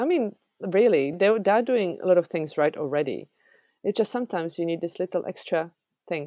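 A woman's medium-pitched voice with a Czech accent, dark and mellow in tone, lively in intonation, at a fairly quick pace, dry and close with no echo, against a quiet background. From Czech Republic. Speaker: software developer. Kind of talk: interview.

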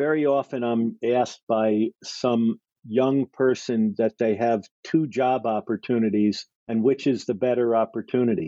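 Here is a man with a normal speaking voice at a medium pitch and fairly slow pace. His loudness stays very even, and his intonation is fairly even. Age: 60s. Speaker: entrepreneur and investor. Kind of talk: interview.

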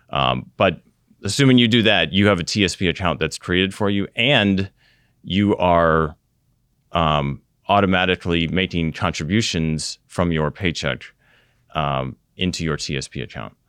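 A man with an American accent and a very deep, low pitch, vocal fry, lively intonation and moderate pace, in a very clean recording with a silent background. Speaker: retirement plan investment officer and Air Force veteran. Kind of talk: interview.

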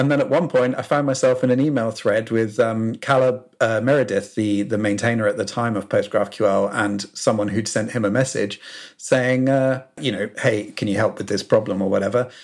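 The man speaks with a southern British accent at a fairly quick pace. His pitch is medium, with ordinary variation. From southern England, South Coast. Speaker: software consultant and open source maintainer. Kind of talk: casual interview chat.

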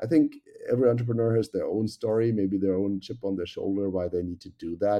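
A man with a German accent talks at a very fast pace, with a fairly low pitch and fairly even intonation. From Germany. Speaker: tech company executive. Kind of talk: interview.

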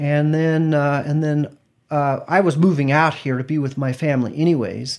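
A man with an American accent at a moderate pace, fairly even intonation, on a very clean recording with a silent background. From Idaho, near Boise. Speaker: church member telling his life story. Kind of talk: interview, life story.

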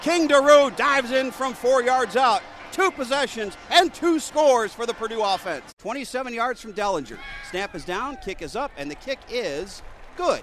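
Over noticeable background noise, the speech moves at a moderate pace with lively intonation and big swings in loudness. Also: man, extremely high pitch for a man. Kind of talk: live radio sports commentary. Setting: radio broadcast highlights. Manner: excited, emphatic on touchdowns.

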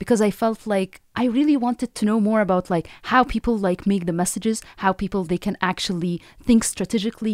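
A woman with an Arabic accent talks at a fairly quick pace and medium pitch, with ordinary pitch variation. The recording is very clean and dry, close with no echo, over a silent background. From Egypt, Cairo. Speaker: professor. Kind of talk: interview.

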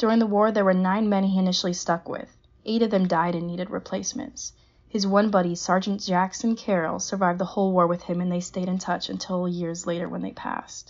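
This woman has an ordinary speaking voice with an American accent and medium pitch. She speaks at a fairly quick pace with fairly even intonation. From Southern California, Pasadena. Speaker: naval academy student. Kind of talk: prepared narration of family history.

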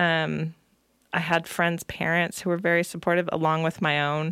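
A normal speaking voice from a woman with an American accent, fairly low in pitch, at a moderate pace, in a very clean recording with a silent background. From California (Salinas). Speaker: poet and creative writing teacher. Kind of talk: interview.

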